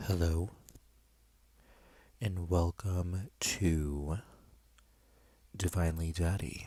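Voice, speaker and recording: A soft-spoken man with a very deep, low voice and a dark, mellow tone, somewhat breathy, at a very slow pace with fairly even intonation and long, frequent pauses. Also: very clean recording, silent background. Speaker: vlogger. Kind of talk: casual chat. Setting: in a bedroom, doors open.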